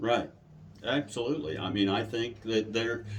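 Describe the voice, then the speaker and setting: Somewhat breathy, a man talks at a fairly slow pace with a medium pitch. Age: 60s. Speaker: haunted attraction owner. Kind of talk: interview. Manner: casual, conversational.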